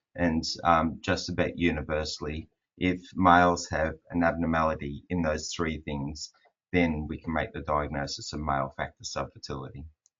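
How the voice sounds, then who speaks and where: A man speaks with an Australian accent at a very deep, low pitch. His intonation is fairly even. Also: moderate pace. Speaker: fertility specialist doctor. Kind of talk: webinar presentation. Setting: online webinar. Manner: monotone.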